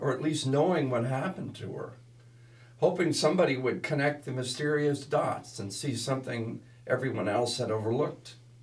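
A man with an ordinary speaking voice talks at a fairly high pitch. His pace is moderate. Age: 60s. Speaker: podcast co-host, martial arts instructor. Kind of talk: casual chat, reading case notes.

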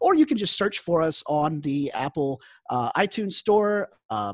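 Moderate pace against a quiet background. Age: 40s. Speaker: podcast host, tabletop gamer. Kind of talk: casual chat.

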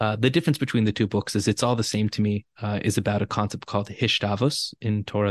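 Against a quiet background, a man with a Californian accent speaks at a fairly quick pace and fairly low pitch, with fairly even intonation and a dry, close sound with no echo. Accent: Californian American English. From Los Angeles. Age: 30s. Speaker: spiritual teacher and author. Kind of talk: interview conversation.

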